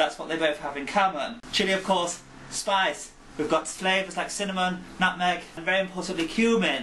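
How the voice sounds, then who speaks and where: A raised, projected male voice, high for a man, with ordinary pitch variation at a moderate pace over noticeable background noise. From England. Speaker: cooking video host. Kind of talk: cooking tutorial.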